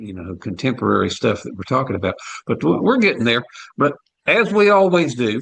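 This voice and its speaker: Speaking at a fairly quick pace, a man at a medium pitch shows vocal fry, very wide pitch swings and big swings in loudness. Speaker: radio show co-host. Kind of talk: casual talk radio chat. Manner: halting, many fillers and restarts.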